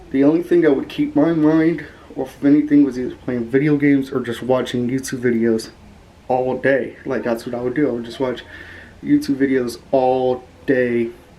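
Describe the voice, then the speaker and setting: The speech moves at a moderate pace with monotone, flat intonation. Noticeable background noise runs underneath. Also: man. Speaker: YouTuber. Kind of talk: personal vlog testimony. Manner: flat, low-energy.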